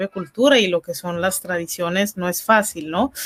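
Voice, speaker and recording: Recorded with dry, close sound and no echo, a woman with an ordinary speaking voice talks fairly slowly with ordinary pitch variation. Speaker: interview host. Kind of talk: live online interview hosting.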